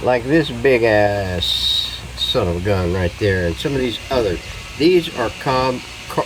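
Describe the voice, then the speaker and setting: Noticeable background noise sits under a man talking at a fairly slow pace. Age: 70s. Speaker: hobbyist radio restorer. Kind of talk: tutorial. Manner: casual, halting with many fillers.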